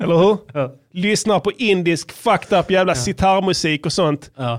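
At a moderate pace, a man speaks in a high pitch with a playful tone and lively intonation. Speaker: rapper and podcast host. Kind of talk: casual banter podcast. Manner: joking, playful.

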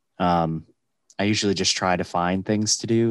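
Over a quiet background, a man with a very deep, low pitch talks at a moderate pace with fairly even intonation. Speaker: podcast co-host. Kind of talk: casual chat.

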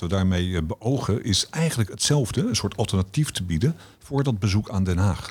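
In a very clean recording with a silent background, a man speaks in a fairly low, somewhat breathy voice. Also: lively intonation, moderate pace. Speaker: director of a democracy education foundation. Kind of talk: podcast interview.

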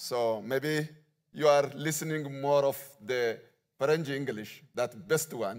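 In an Ethiopian accent, a man speaks at a very slow pace with long, frequent pauses. His pitch is fairly high, with ordinary pitch variation. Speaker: visiting pastor. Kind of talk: sermon. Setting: church.

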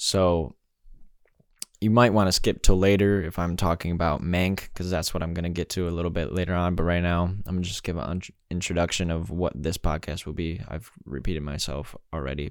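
This man's voice is very deep and low. He talks at a fairly quick pace. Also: very clean recording, silent background. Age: 20s. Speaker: solo movie podcaster. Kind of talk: casual solo monologue. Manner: enthusiastic, animated; frequent fillers and hesitations.

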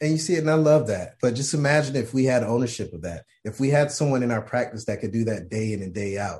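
Against a quiet background, a man talks at a very fast pace with hardly any pauses, sounding somewhat breathy. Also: medium pitch for a man, lively intonation. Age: 30s. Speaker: optometrist. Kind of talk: casual chat.

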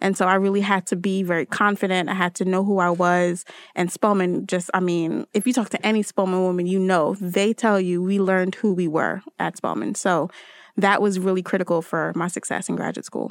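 Recorded very cleanly with a silent background and a dry, close sound with no echo, a woman with a New Jersey accent speaks at a fairly quick pace in a medium pitch with monotone, flat intonation. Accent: New Jersey American. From Newark, New Jersey (Trinidadian family). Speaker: tech industry academic relations manager. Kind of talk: interview.

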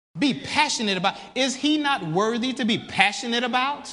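The speaker has an animated tone. Crowd noise fills the background. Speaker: preacher. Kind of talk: sermon. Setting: church. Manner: animated, call-and-response preaching, urging the congregation to say amen; fervent, emphatic.

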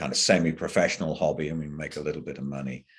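The speaker is a man with an English accent. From England. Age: 70s. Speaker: professor. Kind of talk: interview.

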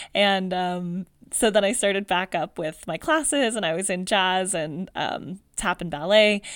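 In a Californian accent, a woman of medium pitch speaks at a fairly slow pace with ordinary pitch variation and hardly any pauses, on a very clean recording with a silent background. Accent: General Californian American. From US West Coast, Palmdale, California. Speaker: podcast host, dancer and therapist. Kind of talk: personal storytelling monologue. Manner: casual with frequent fillers.

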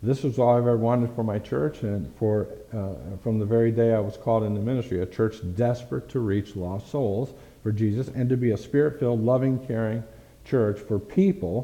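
With a dark, mellow tone, this man talks at a moderate pace, his pitch medium and its variation ordinary. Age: 60s. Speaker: pastor. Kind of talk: sermon. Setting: church.

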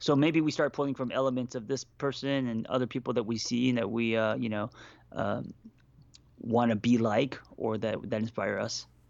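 An unremarkable speaking voice from a man, medium in pitch, at a moderate pace with fairly even intonation. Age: 40s. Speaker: therapist and life coach. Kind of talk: casual chat.

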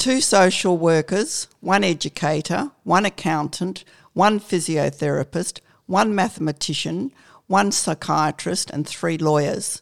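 A woman with a normal speaking voice talks at a fairly slow pace, her pitch fairly low with ordinary variation. The recording is very clean with a silent background, and the sound is dry and close with no echo. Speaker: retired nurse. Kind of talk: interview.

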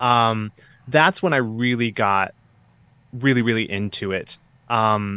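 With a Midwestern American accent, a man speaks fairly slowly in a bright, sharp tone, the sound dry and close with no echo. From US Midwest, Southeast Michigan. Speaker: author. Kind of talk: interview.

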